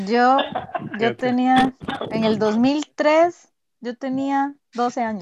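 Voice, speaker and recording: Speaking very slowly with long, frequent pauses, a woman uses a high pitch with ordinary variation. The sound is dry and close, with no echo. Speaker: podcast co-host. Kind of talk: casual chat.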